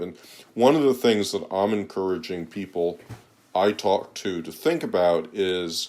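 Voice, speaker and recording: In a very clean recording with a silent background, a man with an American accent speaks in a normal speaking voice at a fairly low pitch and a fairly slow pace. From United States. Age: 60s. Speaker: economist and author. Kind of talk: interview. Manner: occasional repetitions and fillers.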